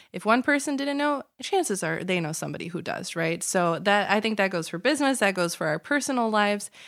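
This woman has a Chicago accent and medium pitch. Her pitch swings very widely. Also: fairly quick pace, very clean recording, silent background. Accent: Chicago American English. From Chicago area, US. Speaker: lawyer. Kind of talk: casual interview chat. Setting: studio.

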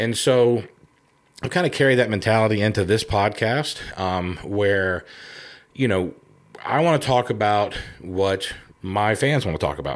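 Fairly slow, lively speech from a man with a Southern US accent, fairly low in pitch, broken by long, frequent pauses, on a very clean recording with a silent background. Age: 50s. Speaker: podcast host and outdoor TV show host. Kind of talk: solo introductory monologue. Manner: relaxed, many filler ums.

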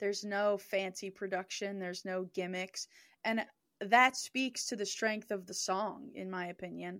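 A woman with a normal speaking voice talks at a moderate pace and medium pitch, with fairly even intonation, on a very clean recording with a silent background. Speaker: songwriter and music producer. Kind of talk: casual chat.

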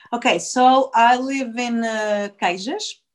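With a Portuguese accent, a woman talks at a fairly high pitch, with ordinary pitch variation. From Portugal, Lisbon area. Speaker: actress and singer. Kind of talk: interview, casual chat. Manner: halting, many fillers and restarts.

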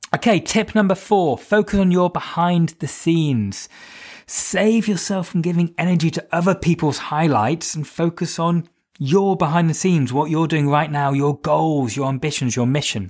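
On a very clean recording with a silent background, a man speaks in a high pitch with a British accent. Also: ordinary pitch variation, moderate pace. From Britain. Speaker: podcast host and fitness instructor. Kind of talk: solo podcast monologue with practical tips. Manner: conversational.

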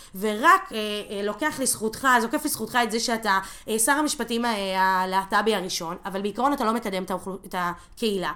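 Over a silent background in a very clean recording, a woman talks at a moderate pace with a fairly high pitch, a bright, sharp tone and lively intonation. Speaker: activist. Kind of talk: casual chat.

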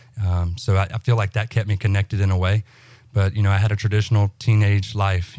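Someone with a Southern US accent talks at a very fast pace in a monotone, flat intonation with a dark, mellow tone, on a very clean recording with a silent background. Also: man. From US South, central Alabama. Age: 20s. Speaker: guest sharing faith testimony. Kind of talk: testimony. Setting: studio. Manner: halting, many fillers.

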